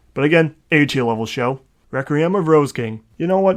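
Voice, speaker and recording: A man with a Minnesotan accent, animated in tone, with lively intonation and a fairly quick pace. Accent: Minnesota. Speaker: anime YouTuber. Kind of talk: casual commentary, anime review.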